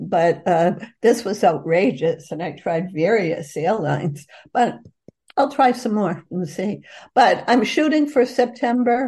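Speaking at a fairly slow pace in an American accent, a woman has a fairly high pitch with very wide swings. Her tone is dark, mellow and somewhat breathy. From Boston, North End (US Northeast). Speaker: author. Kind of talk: interview.

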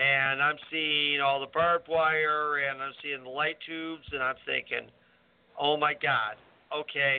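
Speaking at a fairly slow pace, a man holds a fairly high pitch in a flat, monotone delivery. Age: 60s. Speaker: wrestling referee and radio co-host. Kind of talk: casual chat.

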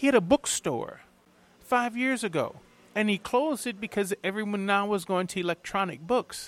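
Recorded very cleanly against a silent background with a dry, close sound and no echo, a man with a New Orleans accent speaks at a moderate pace in a high pitch. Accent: New Orleans US Southern. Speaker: TV chef. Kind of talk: interview.

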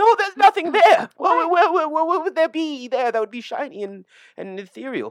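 An extremely high-pitched, shaky put-on character voice with a nervous tone speaks at a moderate pace. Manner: nervous, denying.

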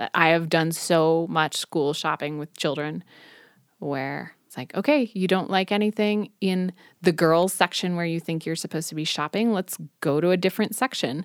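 On a very clean recording with a silent background and a dry, close sound with no echo, a woman speaks at a moderate pace with ordinary pitch variation. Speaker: sex educator podcast host. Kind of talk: casual chat; guided exercise. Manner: calm counting during exercises.

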